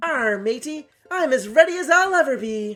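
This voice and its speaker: A put-on character voice, high in pitch, at a moderate pace over faint music in the background. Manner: playful, joking.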